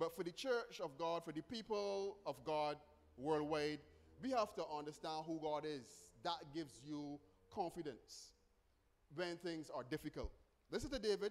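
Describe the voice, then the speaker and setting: Pausing long and often, a man speaks in a high voice. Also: ordinary pitch variation, moderate pace. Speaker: preacher. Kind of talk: sermon. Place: church. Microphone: podium.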